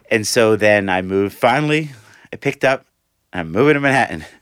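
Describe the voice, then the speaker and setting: A man speaks with an American accent. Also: very clean recording, silent background. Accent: New York Italian. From New York City, Staten Island. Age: 50s. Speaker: former banker, arts nonprofit worker. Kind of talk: interview.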